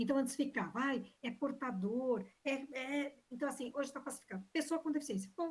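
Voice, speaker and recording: The woman's high-pitched voice keeps a moderate pace. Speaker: examination panel member. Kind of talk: academic defense questioning.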